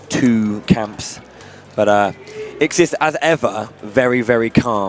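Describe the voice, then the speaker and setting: A man speaks at a very slow pace, his medium pitch showing ordinary variation. Noticeable background noise is present. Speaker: esports commentator. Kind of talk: live commentary. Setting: live event with audience. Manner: halting, repeats words.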